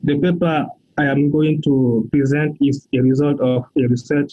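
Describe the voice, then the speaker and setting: A man speaks in a fairly high voice with a monotone, flat intonation. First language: French. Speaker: researcher. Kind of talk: conference presentation. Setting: pre-recorded video presentation.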